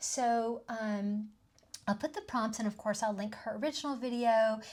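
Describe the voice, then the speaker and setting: A woman speaks at a moderate pace in a Southern US accent, her fairly high voice somewhat breathy. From US South (southeastern US). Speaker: tarot and oracle card video creator. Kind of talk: casual video monologue. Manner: chatty, frequent fillers (um, uh).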